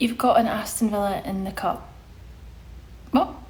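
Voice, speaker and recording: Woman's voice with vocal fry, ordinary pitch variation and a moderate pace, in audible room echo. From Scotland, Glasgow. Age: 30s. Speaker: social media presenter. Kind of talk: casual live stream Q&A. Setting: live stream reading chat. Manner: chatty, informal.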